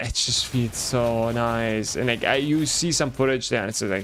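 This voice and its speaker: With a German accent, a man talks at a moderate pace using ordinary pitch variation. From Germany. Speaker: gaming streamer. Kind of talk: casual live-stream chat while gaming. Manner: casual, animated.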